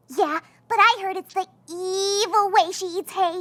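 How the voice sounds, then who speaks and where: A cartoonish character voice that sounds female talks at a moderate pace in an extremely high pitch for a woman. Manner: excitable, dramatic.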